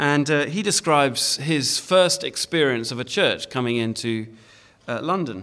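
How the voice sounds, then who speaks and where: With a British accent, a man talks at a moderate pace in a bright, sharp tone with lively intonation. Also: fairly high pitch for a man. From Britain. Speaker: preacher. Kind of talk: sermon. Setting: church. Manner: hesitant, many fillers.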